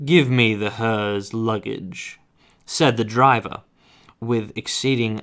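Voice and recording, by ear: A passage read aloud in a natural voice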